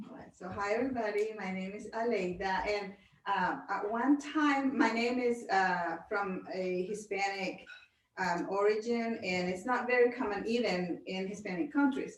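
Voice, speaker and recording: A woman speaks at a fairly slow pace in a medium pitch, with ordinary pitch variation and audible room echo. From Honduras. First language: Spanish. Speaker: pastor's wife and direct sales distributor. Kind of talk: self-introduction at a group meeting.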